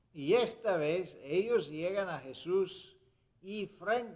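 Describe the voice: A high-pitched man's voice at a slow pace. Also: lively intonation.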